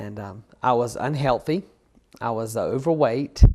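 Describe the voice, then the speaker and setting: A man with a Southern US accent, ordinary pitch variation and a moderate pace, against a quiet background. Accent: Southern US (Georgia). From US South, Georgia. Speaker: photographer. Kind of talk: interview. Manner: halting, many fillers.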